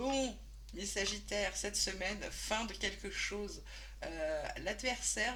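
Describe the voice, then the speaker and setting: A woman talks at a very slow pace while audible room echo and noticeable background noise fill the recording. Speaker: tarot reader. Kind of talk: tarot reading monologue. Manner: soft-spoken today, usually loud; hesitant, many fillers.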